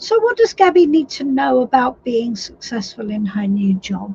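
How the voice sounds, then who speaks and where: Over noticeable background noise, a woman with a fairly high pitch talks at a fairly slow pace with lively intonation. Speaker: tarot reader. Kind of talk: live stream reading. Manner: casual, chatty.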